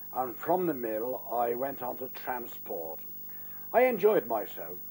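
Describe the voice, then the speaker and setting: Speaking at a fairly slow pace, a man with a Liverpool accent has a medium pitch. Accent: Scouse (Liverpool). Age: 80s+. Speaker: pensioner. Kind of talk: interview testimony. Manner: halting with fillers.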